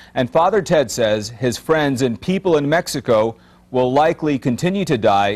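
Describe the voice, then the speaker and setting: In a plain, everyday voice, a man speaks at a moderate pace with very even loudness. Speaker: TV news reporter. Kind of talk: TV news report narration.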